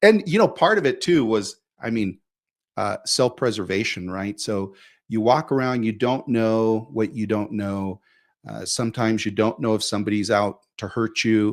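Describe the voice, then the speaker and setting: With a normal speaking voice, a man talks at a moderate pace in a medium pitch with ordinary pitch variation, on a very clean recording with a silent background. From Mexico, moved to US at about five. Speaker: immigrant sharing life story. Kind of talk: interview conversation.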